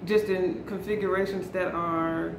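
A woman speaks with fairly even intonation. Noticeable background noise runs beneath her. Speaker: fragrance vlogger. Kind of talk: casual vlog chat. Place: home room. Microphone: camera far.

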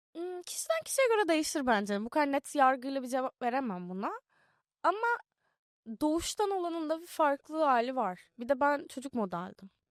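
A woman's high voice with very wide pitch swings, at a moderate pace, in a dry, close sound with no echo. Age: young. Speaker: actress. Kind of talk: casual interview chat. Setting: studio.

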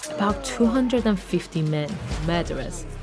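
A woman speaks at a moderate pace and a medium pitch, with music playing in the background. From British Iranian. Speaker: TV reporter and documentary presenter. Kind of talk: documentary reporting.

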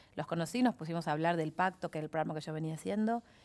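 Here a woman speaks in a Rioplatense accent. Her pitch sits fairly low. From Argentina. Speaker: actress. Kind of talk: casual chat. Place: studio. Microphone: headset.

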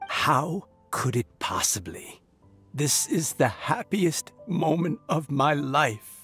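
A man's put-on character voice, fairly high and fairly bright with a slightly husky edge, slow and swinging widely in pitch, faint music in the background

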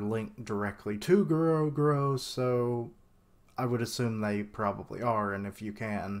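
A man at a moderate pace with ordinary pitch variation. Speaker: anime theory vlogger. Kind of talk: casual vlog commentary. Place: home room. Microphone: webcam.

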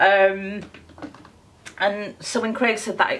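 A woman speaks with a Yorkshire accent. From Yorkshire, northern England. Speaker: beauty vlogger. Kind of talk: makeup tutorial chat. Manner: hesitant, many fillers. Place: home room. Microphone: phone near.

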